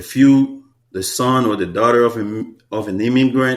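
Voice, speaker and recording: Speaking at a fairly slow pace, the man has a medium pitch and a Haitian accent. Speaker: hair stylist. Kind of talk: interview. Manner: repetitive filler-heavy speech.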